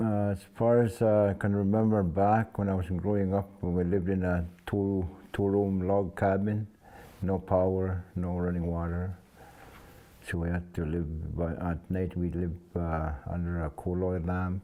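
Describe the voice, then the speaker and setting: The delivery is fairly slow and monotone, with flat intonation. The tone is dark and mellow. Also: man, very deep, low pitch for a man. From Saskatchewan, Canada (First Nations reserve). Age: 70s. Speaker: elder. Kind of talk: oral history interview. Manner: halting.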